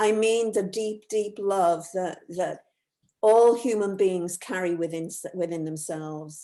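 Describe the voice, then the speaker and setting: Dark and mellow in tone, a woman speaks at a fairly slow pace with a medium pitch and ordinary pitch variation. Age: 70s. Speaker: self-empowerment educator and author. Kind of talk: interview. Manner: halting, many repetitions.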